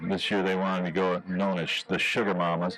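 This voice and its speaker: Noticeable background noise fills the recording. A man speaks over it at a moderate pace. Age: 60s. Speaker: ski show announcer. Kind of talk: live commentary.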